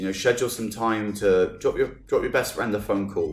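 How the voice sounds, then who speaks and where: The speech moves at a fairly quick pace while music can be heard behind it. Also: man. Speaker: podcast host. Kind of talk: casual podcast talk.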